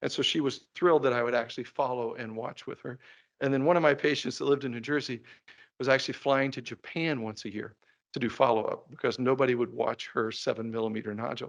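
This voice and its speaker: A man's very fast, animated speech over a quiet background. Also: medium pitch for a man. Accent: Kentucky. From Kentucky (Laurel County, northern Kentucky). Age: 60s. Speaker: endocrinologist. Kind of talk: lecture. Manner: conversational, animated.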